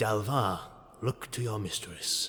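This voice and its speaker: A man performs a put-on character voice. His pitch is fairly low. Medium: read story. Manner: cold, commanding.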